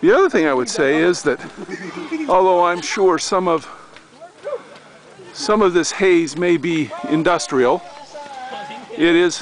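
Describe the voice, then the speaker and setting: Long, frequent pauses at a fairly slow pace, with a dry sound free of echo and light background noise. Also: man, high pitch for a man, ordinary pitch variation. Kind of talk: casual travel commentary. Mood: relaxed, admiring. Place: open country. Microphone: phone near.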